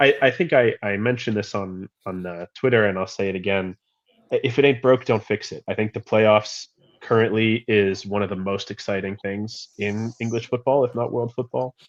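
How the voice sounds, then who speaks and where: A man with an American accent, an ordinary speaking voice, fairly low pitch, fairly even intonation, moderate pace, and a dry, close sound with no echo. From USA. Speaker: football podcast panelist. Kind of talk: casual chat.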